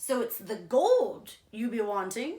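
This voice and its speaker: A woman performs a put-on character voice at a high pitch. She delivers it at a fairly slow pace. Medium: read story.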